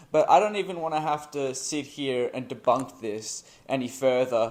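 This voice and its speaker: At a fairly slow pace, a man talks at medium pitch in an unremarkable speaking voice. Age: young. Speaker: history YouTuber. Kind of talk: scripted narration.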